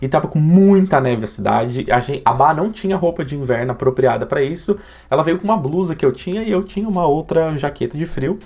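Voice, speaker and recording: Lively intonation and an animated tone at a fairly quick pace, with hardly any pauses. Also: man, fairly high pitch for a man. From Brazil. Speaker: YouTuber. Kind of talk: vlog.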